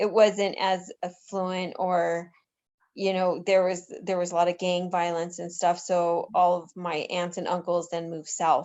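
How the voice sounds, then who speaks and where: A woman with an American accent speaks at a fairly low pitch and a fairly slow pace. Her intonation is monotone and flat, while her loudness swings widely. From North Denver, Colorado. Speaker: board member. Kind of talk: community board meeting.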